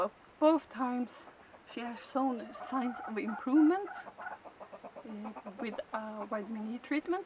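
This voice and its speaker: A woman with a Swedish accent speaks at a fairly slow pace in a high pitch, with long, frequent pauses. Her loudness swings a lot, and noticeable background noise is present. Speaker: chicken keeper. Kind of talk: tutorial. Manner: halting.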